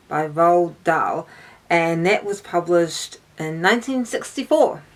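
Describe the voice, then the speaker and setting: Speaking with a New Zealand accent, a woman uses a medium pitch, ordinary pitch variation and a fairly slow pace. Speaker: book YouTuber. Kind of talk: casual talk to camera. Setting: outdoors in garden. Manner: hesitant, many fillers.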